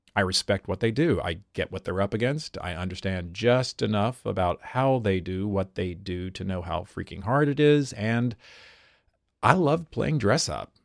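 An ordinary speaking voice from a man, fairly low in pitch, with lively intonation, a moderate pace, a dry, close sound with no echo and a very clean recording, silent background. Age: 40s. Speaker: stage actor. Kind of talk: reading aloud.

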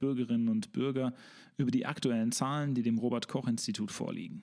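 The voice swings very widely in pitch, and the recording is very clean with a silent background. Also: man. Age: 30s. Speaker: podcast host and local politician. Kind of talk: interview; scripted narration.

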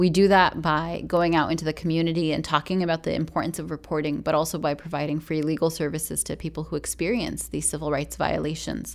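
A woman with a very deep, low voice and vocal fry talks very fast in a monotone, flat delivery with hardly any pauses. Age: 30s. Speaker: civil rights attorney. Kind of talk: interview. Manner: formal.

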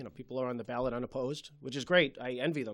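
A man of medium pitch with a Boston accent and fairly even intonation. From Malden, Massachusetts. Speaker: city councilor. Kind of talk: interview. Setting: studio.

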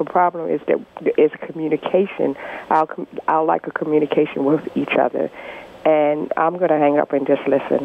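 A woman speaks at a moderate pace in a very deep, low voice, her loudness very even and her intonation fairly even. Noticeable background noise runs underneath. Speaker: radio caller. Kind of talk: call-in question. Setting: phone call.

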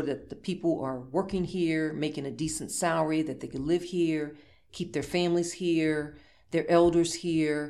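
Audible room echo surrounds a woman whose very deep, low pitch stays in fairly even intonation. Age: 50s. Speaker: political candidate. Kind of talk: interview.

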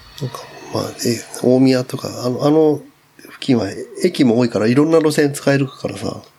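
A man talks at a moderate pace in a fairly high voice with ordinary pitch variation. His loudness swings a lot over noticeable background noise. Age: 40s. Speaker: podcast guest. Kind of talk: casual chat.

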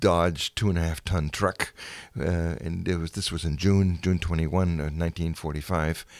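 A man's very deep, low voice with a German accent, fairly even intonation and a moderate pace over a silent background in a very clean recording. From Germany (Dessau). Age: 80s+. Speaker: museum docent, war childhood witness. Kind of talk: personal testimony interview. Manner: halting, many fillers.

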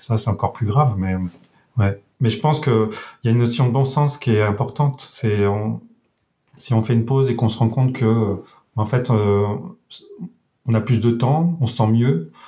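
At a fairly slow pace, a man speaks in a dark, mellow, somewhat breathy voice of medium pitch, his loudness very even and his pitch variation ordinary. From rural France. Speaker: web developer. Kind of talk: casual interview.

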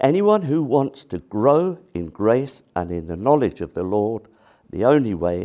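Here a man has a dark, mellow tone. He speaks at a moderate pace with lively intonation. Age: 70s. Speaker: preacher. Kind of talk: sermon.

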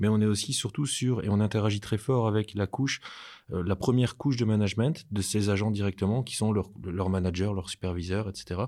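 On a very clean recording with a silent background, a man with a fairly low pitch, a dark, mellow tone and ordinary pitch variation speaks at a fairly quick pace. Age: 40s. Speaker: entrepreneur. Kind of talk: interview.

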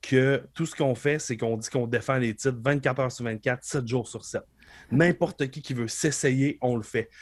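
The delivery is a plain, everyday voice at a fairly slow pace. Its intonation stays fairly even. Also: man. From Quebec, Beauce. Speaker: professional wrestler. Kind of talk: casual interview chat.

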